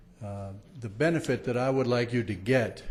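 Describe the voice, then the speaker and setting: A man's medium-pitched voice sounds somewhat breathy. There is audible room echo. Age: 60s. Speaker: public commenter at city council meeting. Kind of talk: public comment speech. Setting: council chambers with audience. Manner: hesitant, many fillers.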